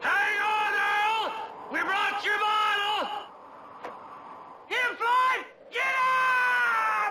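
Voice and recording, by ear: Amid strong room echo and faint crowd noise in the background, a man shouts in a put-on character voice at an extremely high pitch, with little pitch movement. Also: very slow pace, bright, sharp tone.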